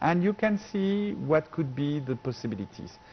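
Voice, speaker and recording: Speaking with a French accent at a moderate pace, a man uses a fairly high pitch with very wide pitch swings. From France. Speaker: professor. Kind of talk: TV interview. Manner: halting.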